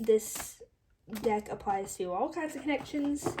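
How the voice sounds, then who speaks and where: At a very slow pace, a woman mumbles with ordinary pitch variation. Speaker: tarot reader. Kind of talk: tarot reading to camera. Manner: mumbling.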